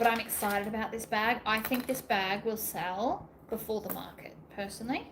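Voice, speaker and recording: Over noticeable background noise, a woman speaks in a fairly high pitch with hardly any pauses. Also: moderate pace. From Australia. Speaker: sewing YouTuber. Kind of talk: live stream craft tutorial chat. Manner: animated.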